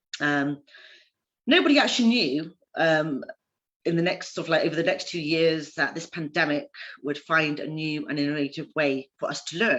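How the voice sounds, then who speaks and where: A woman's very deep, low voice at a moderate pace, with ordinary pitch variation and a quiet background. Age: 30s. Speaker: panel speaker, trainee counselor. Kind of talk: conference talk. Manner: hesitant with many ums.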